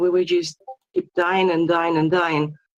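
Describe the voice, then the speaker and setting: A woman with a non-native accent at a moderate pace. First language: not English. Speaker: esports player, clan member. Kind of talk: post-match interview. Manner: halting.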